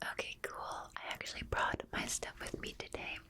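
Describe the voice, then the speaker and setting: A woman whispering at a moderate pace, with noticeable background noise. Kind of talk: ASMR roleplay, friend doing makeup, personal attention. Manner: whispered, soft, close-mic.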